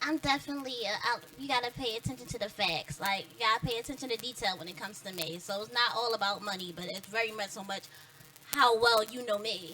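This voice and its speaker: Over music in the background, a woman races along at a very fast pace in a fairly high voice, with lively intonation and big swings in loudness. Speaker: interview guest. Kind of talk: casual interview chat.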